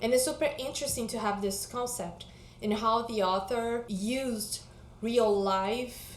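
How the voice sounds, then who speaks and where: A woman with a non-native accent and a fairly high pitch speaks at a fairly slow pace with ordinary pitch variation, amid noticeable background noise and audible room echo. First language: not English. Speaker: book vlogger. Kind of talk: casual vlog chat.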